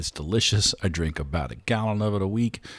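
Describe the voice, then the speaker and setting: Speaking at a very fast pace with a Southern US accent, a man uses a fairly low pitch and ordinary pitch variation against a quiet background. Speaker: podcast host and drummer. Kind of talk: podcast intro and sponsor reads. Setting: at a microphone.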